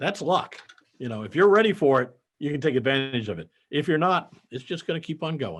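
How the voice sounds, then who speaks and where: Vocal fry runs through this man's fairly high voice. His intonation is lively. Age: 70s. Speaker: accountant and business founder. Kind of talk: interview conversation.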